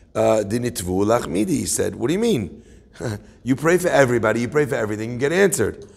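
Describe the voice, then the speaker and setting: A man with vocal fry talks at a fairly quick pace over a quiet background. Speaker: religious teacher. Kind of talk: lecture. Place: meeting room. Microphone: phone near.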